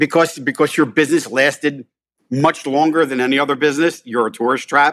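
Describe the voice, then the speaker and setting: In a very clean recording with a silent background, a man talks at a fairly quick pace with a Philadelphia accent. His pitch is fairly high and his intonation fairly even. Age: 50s. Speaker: restaurant owner. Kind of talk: casual chat.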